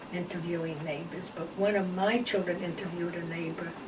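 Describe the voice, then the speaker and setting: A woman talks at a moderate speed amid noticeable background noise and audible room echo. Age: 80s+. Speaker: interviewee. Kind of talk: casual chat.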